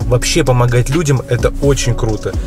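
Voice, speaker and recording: Over clear music in the background, a man talks at a moderate pace with fairly even intonation in a dry sound with no echo. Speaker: vlogger. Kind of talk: casual vlog chat. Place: car. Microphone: phone near.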